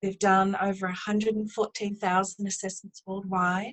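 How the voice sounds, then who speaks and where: With a New Zealand accent, a woman speaks at a moderate pace and medium pitch, somewhat breathy and in a flat monotone. The sound is dry and close with no echo. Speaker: business owner, driving assessment specialist. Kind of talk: interview.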